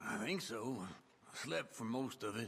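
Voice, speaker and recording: Putting on a character voice, a man speaks at a fairly slow pace in a raspy, medium-pitched voice. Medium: video game.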